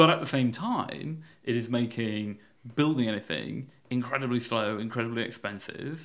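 A man speaks at a moderate pace with a Yorkshire accent, his pitch medium and its variation ordinary. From Yorkshire, England. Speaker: campaign group founder. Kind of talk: podcast interview. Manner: hesitant, with fillers and repetitions.

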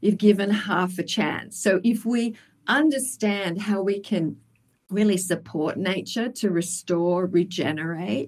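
A woman speaks in an Australian accent. Her pace is fairly slow, with ordinary pitch variation. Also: medium pitch for a woman. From Tasmania, Australia. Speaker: wildlife biologist and sustainability advisor. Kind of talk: interview.

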